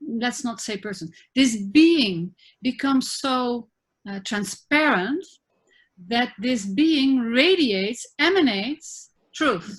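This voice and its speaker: Against a silent background in a very clean recording, a woman with a high pitch and lively intonation speaks at a very slow pace. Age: 60s. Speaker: spiritual teacher and therapist. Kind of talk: interview conversation. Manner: halting.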